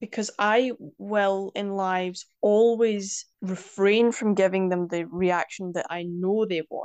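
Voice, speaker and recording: In a Scottish accent, a woman talks at a very slow pace and medium pitch with fairly even intonation and hardly any pauses, over a quiet background. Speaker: poet and language advocate. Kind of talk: interview.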